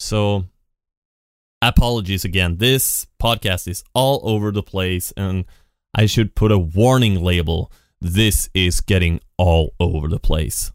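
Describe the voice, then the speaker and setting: In a very clean recording with a silent background, a man speaks with a very deep, low pitch. His pace is fairly slow and his pitch variation ordinary. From Sweden. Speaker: podcast host. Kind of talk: solo podcast monologue. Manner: halting, with many fillers.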